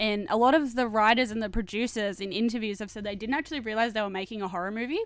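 A woman speaks in a normal speaking voice, fairly high-pitched, with ordinary pitch variation on a very clean recording with a silent background. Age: 20s. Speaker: podcast co-host. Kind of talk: casual chat.

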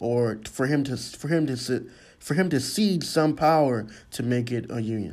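Speaking at a moderate pace, a man has a medium pitch, ordinary pitch variation and a dark, mellow tone. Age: 20s. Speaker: college student. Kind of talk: school project monologue. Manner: halting.

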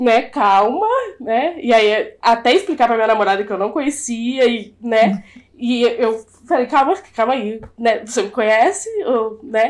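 A woman's fairly high-pitched, unremarkable speaking voice, at a fairly slow pace with ordinary pitch variation. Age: 20s. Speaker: podcast guest. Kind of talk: casual chat.

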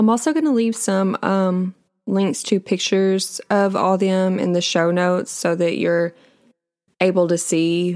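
A woman with an unremarkable speaking voice talks fairly slowly at a medium pitch and very even loudness. The recording is very clean, with a silent background. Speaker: true crime podcaster. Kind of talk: true-crime narration, casual storytelling. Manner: conversational, chatty; casual, with filler words and a slightly indignant tone.

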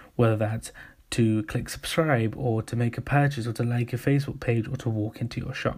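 In an English accent, a somewhat breathy man talks with monotone, flat intonation. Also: very clean recording, silent background. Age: 20s. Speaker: podcast host and marketing agency director. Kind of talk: solo podcast monologue.

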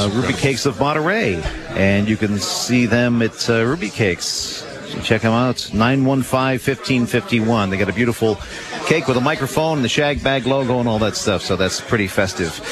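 Over noticeable background noise, a man speaks at a medium pitch and a moderate pace, with ordinary pitch variation. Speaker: radio host. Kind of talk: live radio show with guests, casual chat. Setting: live event in a noisy room. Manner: upbeat, friendly.

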